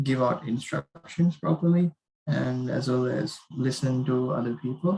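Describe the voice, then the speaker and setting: Soft-spoken and somewhat breathy, a man with a fairly high pitch and a dark, mellow tone speaks at a fairly slow pace. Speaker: university student. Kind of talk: class reflection presentation.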